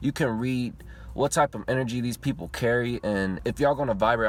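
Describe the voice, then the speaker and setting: Here is a man with an ordinary speaking voice, pitched in the medium range. His pace stays moderate and his pitch moves in an ordinary way. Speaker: YouTuber. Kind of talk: personal vlog monologue. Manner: casual.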